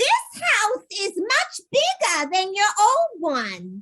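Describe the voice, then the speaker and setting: This is a put-on character voice, squeaky and very slow. Its pitch swings very widely. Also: woman, extremely high pitch for a woman. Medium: stage play. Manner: doddering, confused, sweet.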